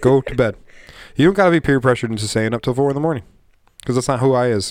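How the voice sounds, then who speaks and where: With an American accent, a man speaks at a medium pitch and a very fast pace, his intonation lively. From Michigan. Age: 30s. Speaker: podcast host. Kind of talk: casual chat. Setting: studio.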